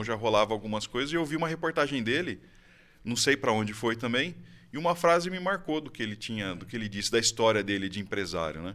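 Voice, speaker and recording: At a very fast pace, a man talks with lively intonation. The background is silent in this very clean recording. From Brazil, Campinas (São Paulo state). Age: 30s. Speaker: IT services business owner. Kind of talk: interview, casual chat.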